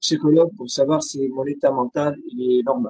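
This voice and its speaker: In a dark, mellow tone, a man with fairly high pitch talks at a fairly slow pace. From Syria. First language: Arabic (speaking French). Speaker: writer and poet. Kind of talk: interview testimony. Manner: hesitant, many fillers.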